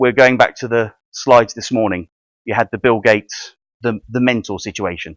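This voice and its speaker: A man with a British accent and a medium pitch speaks at a fairly quick pace in a dry, close sound with no echo, with a quiet background. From UK. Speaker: networking and funding advisor, workshop speaker. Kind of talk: presentation to a room of trainees. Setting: meeting room with audience. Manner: fast.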